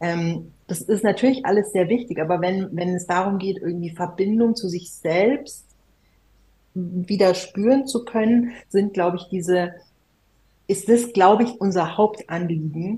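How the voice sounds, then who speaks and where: A woman with a dark, mellow tone speaks somewhat breathily at a fairly slow pace, her pitch varying in an ordinary way. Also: medium pitch for a woman. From Germany. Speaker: musician. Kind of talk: casual chat.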